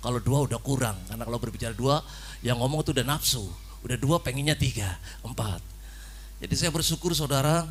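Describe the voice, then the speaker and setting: In a Javanese accent, a man talks at a very fast pace. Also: medium pitch for a man, ordinary pitch variation. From Cilacap, Central Java. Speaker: preacher. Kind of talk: sermon. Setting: church. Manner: animated.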